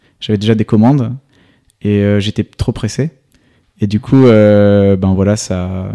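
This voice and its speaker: A man's fairly low, dark, mellow voice, dry and close with no echo, on a very clean recording with a silent background. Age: 20s. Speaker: 3D animation company CEO. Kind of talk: interview.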